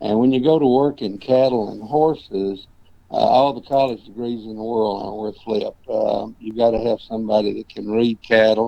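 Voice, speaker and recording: Moderately paced, a man with a medium pitch and a dark, mellow tone keeps a fairly even intonation while his loudness swings widely. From Tennessee, Murfreesboro area. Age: 70s. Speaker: ranch manager and cowboy historian. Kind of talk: interview.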